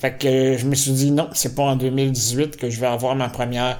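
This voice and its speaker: Someone with a Quebec accent speaks at a fairly slow pace, with audible room echo. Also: man. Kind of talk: casual monologue to camera. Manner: halting, many fillers.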